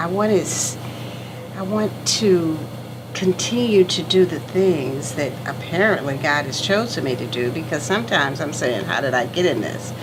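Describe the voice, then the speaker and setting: A woman's very deep, low voice with very wide pitch swings, amid noticeable background noise and audible room echo. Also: moderate pace. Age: 70s. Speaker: kidney patient and entrepreneur. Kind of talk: interview testimony. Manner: emotional, heartfelt.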